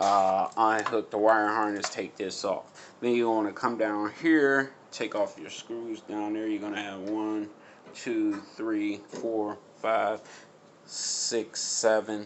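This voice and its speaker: The speech moves at a very slow pace. The intonation is monotone and flat. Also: man, fairly low pitch for a man. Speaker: appliance repair tutorial maker. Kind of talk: tutorial. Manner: casual, halting with fillers.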